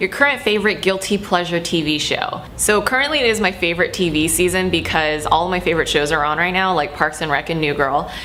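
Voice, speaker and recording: In an American accent, a woman talks very fast at a fairly low pitch with lively intonation and hardly any pauses, over music in the background and audible room echo. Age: 20s. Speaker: YouTuber. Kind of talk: casual Q&A vlog. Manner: casual, with fillers.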